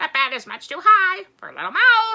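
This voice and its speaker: A woman puts on a character voice. It is squeaky and extremely high in pitch. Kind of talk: bedtime story voice. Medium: read story. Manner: punctuates speech with quacking.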